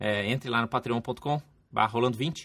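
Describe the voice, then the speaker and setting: A man's bright, sharp voice comes through a very clean recording with a silent background. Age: 30s. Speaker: RPG podcast host. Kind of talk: casual chat; podcast outro.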